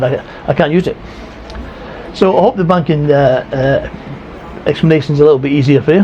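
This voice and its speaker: A man with a Scottish accent, fairly high-pitched and fairly quick, with ordinary pitch variation against noticeable background noise. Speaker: retiree vlogger. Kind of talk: casual vlog talk. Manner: careful, toned-down speech; halting, many fillers.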